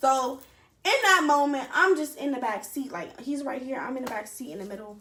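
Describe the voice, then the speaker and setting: Raised and projected, a woman's high-pitched voice moves at a fairly quick pace. Her intonation is lively, and her loudness swings widely. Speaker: storytime vlogger. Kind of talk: storytime monologue.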